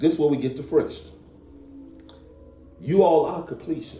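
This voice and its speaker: Music plays in the background as a man talks, his voice carrying an audible room echo. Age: 50s. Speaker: pastor and real estate agent. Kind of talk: casual chat.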